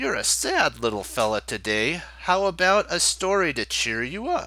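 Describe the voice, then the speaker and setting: A man puts on a character voice, pitched high and delivered at a moderate pace. The recording is very clean, with a silent background. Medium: read story.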